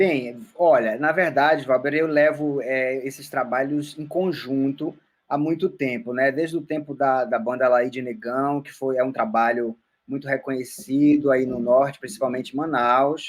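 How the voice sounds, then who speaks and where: Using a plain, everyday voice, a man talks at a fairly slow pace with a fairly high pitch and ordinary pitch variation. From Roraima, northern Brazil. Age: 30s. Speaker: musician and anthropologist. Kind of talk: casual interview.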